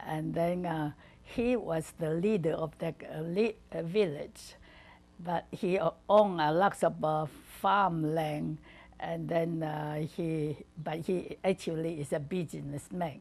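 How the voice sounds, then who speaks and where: A woman speaks very slowly in a fairly low voice with ordinary pitch variation. The background is quiet. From southern China, Guangdong. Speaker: retired missionary wife. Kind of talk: oral history interview. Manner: halting, many fillers.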